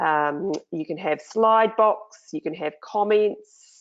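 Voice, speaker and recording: A woman speaks with a New Zealand accent and lively intonation. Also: quiet background. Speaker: online marketing trainer. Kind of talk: screen-share tutorial. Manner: casual, many fillers.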